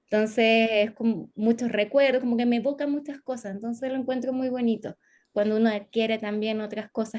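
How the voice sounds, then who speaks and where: A woman with a Chilean accent speaks at a moderate pace in a fairly high voice with fairly even intonation. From northern Chile, Antofagasta. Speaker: psychologist. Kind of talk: interview.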